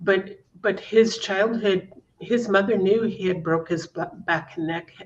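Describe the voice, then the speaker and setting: Fairly slow female speech at a medium pitch, its intonation fairly even. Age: 60s. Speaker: guest sharing personal story of abuse. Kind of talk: testimony. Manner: halting.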